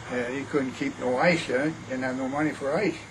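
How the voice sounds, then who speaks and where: Over noticeable background noise and audible room echo, a man with an American accent speaks at a moderate pace in a fairly high pitch. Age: 80s+. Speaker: elderly grandfather sharing family history. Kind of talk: oral history interview. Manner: halting.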